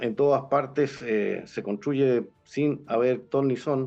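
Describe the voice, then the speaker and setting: With music in the background, a man with a medium-pitched voice speaks at a very slow pace. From Chile. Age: 70s. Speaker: presidential candidate. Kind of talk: interview. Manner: halting.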